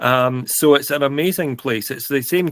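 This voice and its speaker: A man in a Scottish accent, fairly high-pitched and fairly slow, with a dry, close sound and no echo. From Scotland, Stirling. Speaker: podcast co-host. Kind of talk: casual chat.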